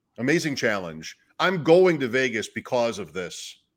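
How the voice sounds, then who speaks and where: A man with a normal speaking voice talks at a medium pitch with lively intonation, on a very clean recording with a silent background. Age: 50s. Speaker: fantasy football podcast host. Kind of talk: casual chat.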